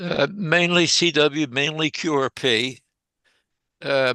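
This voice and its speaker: Against a quiet background, a man with a fairly high pitch speaks in a bright, sharp tone and fairly even intonation. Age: 90s. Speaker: amateur radio operator. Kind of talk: casual chat. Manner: halting.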